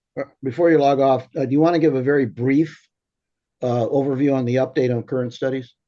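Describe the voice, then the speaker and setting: Very fast and fairly even in intonation, a man talks at a medium pitch with a dark, mellow tone. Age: 70s. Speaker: commission chairman. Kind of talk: public business meeting. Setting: remote video meeting. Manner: halting, many fillers.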